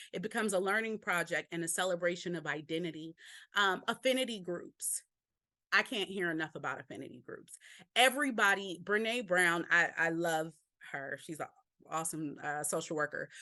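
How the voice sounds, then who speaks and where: Against a quiet background, a woman with a fairly low pitch uses a bright, sharp tone and ordinary pitch variation. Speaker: workshop presenter on school belonging. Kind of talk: webinar presentation. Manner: fast.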